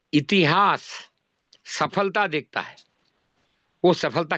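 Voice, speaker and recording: A bright, sharp tone in dry, close sound with no echo against a quiet background. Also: man. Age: 80s+. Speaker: cooperative movement elder / speaker at meeting. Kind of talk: speech at online meeting. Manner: animated.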